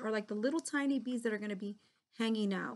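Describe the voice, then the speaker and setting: A woman talks at a very fast pace, her fairly high pitch moving with ordinary variation. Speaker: art teacher. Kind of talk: tutorial.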